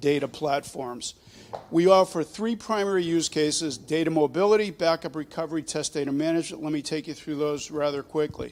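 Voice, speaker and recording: With an American accent and a normal speaking voice, a man speaks at a moderate pace, his pitch fairly high with ordinary variation. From Boston. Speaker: startup presenter. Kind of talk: pitch presentation.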